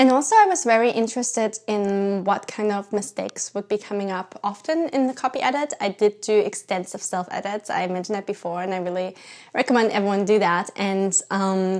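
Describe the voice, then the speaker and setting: A woman with a German accent, medium pitch and ordinary pitch variation, fairly quick and with hardly any pauses. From Germany. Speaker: writer and YouTuber. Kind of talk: casual vlog talk.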